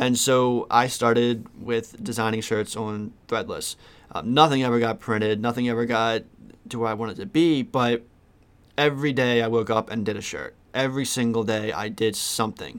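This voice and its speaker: An unremarkable speaking voice belongs to a man with an American accent who talks at a moderate pace, medium in pitch, with fairly even intonation. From Maryland, US (Westminster). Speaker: podcast host, t-shirt print business owner. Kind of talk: solo monologue, personal story. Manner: casual, with frequent fillers.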